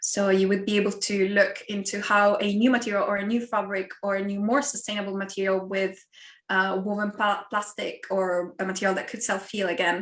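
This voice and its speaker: A woman at medium pitch, fairly quick and flat in a monotone, with noticeable background noise. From Italy. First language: Italian. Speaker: university lecturer. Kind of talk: online talk and Q&A.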